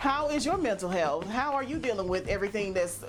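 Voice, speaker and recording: With music in the background, a woman speaks in an animated tone with lively intonation. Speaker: vlogger. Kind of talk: casual vlog monologue. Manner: fast.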